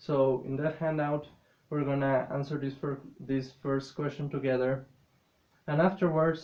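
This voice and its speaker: Speaking at a fairly slow pace with a non-native accent, a man uses a fairly high pitch and monotone, flat intonation. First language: not English. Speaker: English teacher. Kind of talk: classroom lesson.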